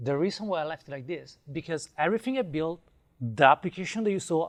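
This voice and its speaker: In an Italian accent, a man speaks at a moderate pace and a fairly high pitch with lively intonation. The sound is dry and close with no echo, on a very clean recording with a silent background. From Italy. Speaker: web developer, conference speaker. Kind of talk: conference talk.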